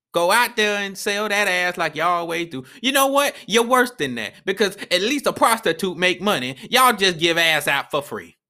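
At a moderate pace and with hardly any pauses, a man uses a raised, projected voice that is high in pitch, bright and sharp in tone, with lively intonation. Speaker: podcast host. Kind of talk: angry rant: furious, profane tirade aimed at women. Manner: exasperated, sneering, lecturing.

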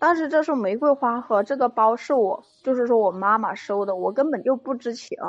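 Music plays in the background as a woman speaks at a high pitch. Her pace is fairly quick and her intonation lively. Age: 20s. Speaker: caller seeking relationship advice. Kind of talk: call-in advice conversation. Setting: phone call into live stream.

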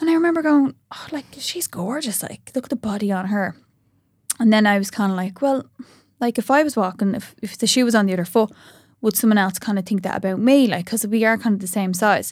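With an Irish accent, a woman talks at a fairly quick pace in a fairly high, somewhat breathy voice full of lively intonation, captured on a very clean recording against a silent background. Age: 30s. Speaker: social media influencer. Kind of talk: casual chat.

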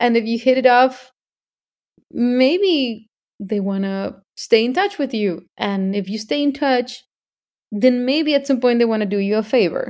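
With a Spanish accent, a high-pitched woman speaks at a fairly slow pace with lively intonation in a very clean recording with a silent background. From Mexico. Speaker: singer. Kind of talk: interview.

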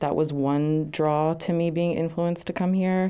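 A woman with an American accent talks at a moderate pace in a dark, mellow tone with fairly even intonation. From Poughkeepsie, New York. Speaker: college student. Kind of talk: interview answers.

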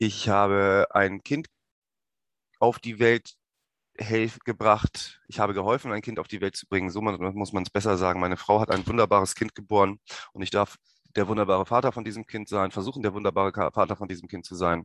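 A man at a fairly low pitch with fairly even intonation, a fairly quick pace broken by long, frequent pauses, in dry, close sound with no echo and a quiet background. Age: 30s. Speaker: podcast host. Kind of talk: personal monologue.

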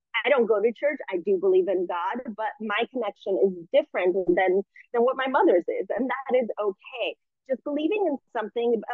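Speaking at a moderate pace, a woman uses an unremarkable speaking voice with fairly high pitch and lively intonation. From US, immigrant family. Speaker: spiritual coach and entrepreneur. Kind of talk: interview conversation.

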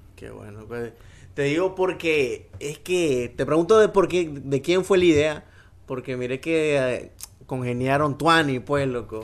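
A man with a Nicaraguan accent talks at a fairly slow pace, his pitch fairly high with ordinary variation. His loudness swings widely. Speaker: podcast host. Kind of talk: casual chat.

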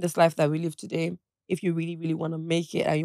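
Speaking at a very fast pace, a woman uses a fairly low pitch and a dark, mellow tone, with a dry, close sound and no echo. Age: 20s. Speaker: influencer and entrepreneur. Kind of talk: casual chat. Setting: studio.

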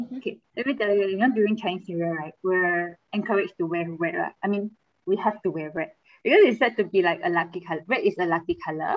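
Talking at a very fast pace, a woman in a Malaysian accent uses medium pitch with ordinary pitch variation. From Kuching, Sarawak, Malaysia. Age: 20s. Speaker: guest. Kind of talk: casual interview chat.

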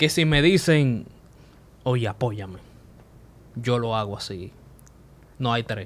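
Lively intonation marks a man's speech at a very slow pace. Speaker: podcast host and comedian. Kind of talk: casual chat.

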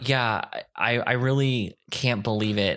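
Recorded very cleanly against a silent background, a man speaks in a bright, sharp tone with ordinary pitch variation. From Ohio, US. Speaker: podcast co-host. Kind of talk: casual chat. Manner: animated, jokey.

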